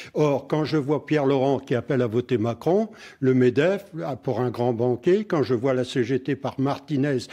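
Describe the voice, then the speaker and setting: A man's dark, mellow tone at a very slow pace against a quiet background. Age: 70s. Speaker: member of parliament. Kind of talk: political debate. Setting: radio studio.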